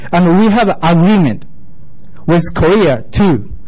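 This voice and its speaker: A man speaks with a Japanese accent at a high pitch. His pitch varies in an ordinary way. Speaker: local resident speaking at public comment. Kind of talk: prepared public comment statement. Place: meeting room. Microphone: podium.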